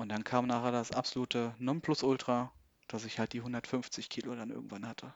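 A man speaks at a medium pitch. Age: 30s. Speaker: logistics worker, coaching client. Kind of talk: interview about personal weight-loss story. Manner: hesitant, many fillers.

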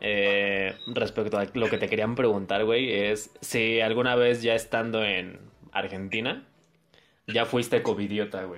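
A man speaks in a Mexican accent at a medium pitch. His pace is fairly slow and his intonation flat and monotone. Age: 20s. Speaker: podcast host. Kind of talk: casual chat.

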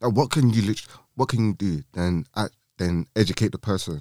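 In a London accent, a man with a fairly low pitch and a dark, mellow tone speaks with lively intonation, the sound dry and close with no echo. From London, England. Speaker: podcast co-host. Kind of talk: casual chat. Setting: studio.

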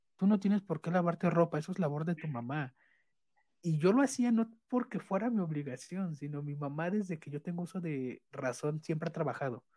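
Quick-paced and lively in intonation, a man speaks at a high pitch. His tone is dark and mellow. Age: 20s. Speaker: guest. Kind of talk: casual chat.

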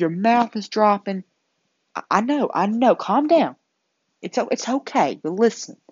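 Speaking in a Southern US accent, a woman with a fairly high, somewhat breathy voice talks at a fairly slow pace with lively intonation and long, frequent pauses. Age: young. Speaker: incoming nursing student. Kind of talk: casual monologue to camera. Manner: animated.

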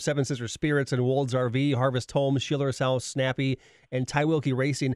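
A man with an ordinary speaking voice talks at a fairly quick pace in a medium pitch. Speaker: radio host. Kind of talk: radio dj patter. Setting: studio. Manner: upbeat, bantering; quick, punchy station-promo delivery.

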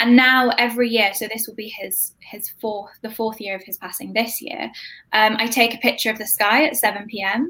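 Speaking with a British accent at a moderate pace, this voice has a bright, sharp tone, fairly even intonation and big swings in loudness. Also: woman, fairly high pitch for a woman. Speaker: grief app co-founder. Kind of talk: casual interview chat. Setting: live stream.

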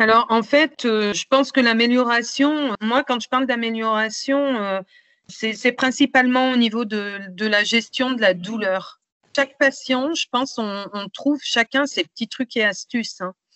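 A woman with a high voice talks at a fairly slow pace. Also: ordinary pitch variation. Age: 50s. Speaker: patient advocate and trainer. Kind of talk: interview testimony. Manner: hesitant, many fillers.

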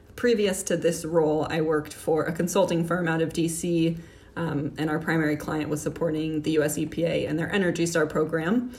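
Speaking at a moderate pace with an American accent, a woman with a fairly low pitch keeps a fairly even intonation amid audible room echo. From Miami, Florida. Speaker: city climate advisor. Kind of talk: interview.

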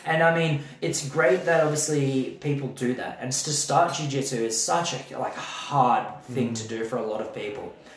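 With an Australian accent, a man speaks at a moderate pace and a fairly high pitch, with ordinary pitch variation, hardly any pauses, and noticeable background noise. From Adelaide, South Australia. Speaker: jiu-jitsu athlete and event organizer. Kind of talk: casual chat.

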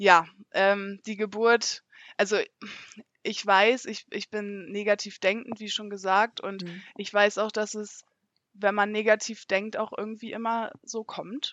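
The pace is very slow as a woman talks. Her delivery stays monotone and flat. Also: medium pitch for a woman, big swings in loudness. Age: 20s. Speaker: mother sharing birth experience. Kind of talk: testimony.

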